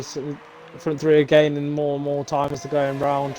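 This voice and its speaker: Through noticeable background noise, a man with a British accent and fairly high pitch rattles along at a very fast pace in a monotone, flat intonation. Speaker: esports race commentator. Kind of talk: live commentary.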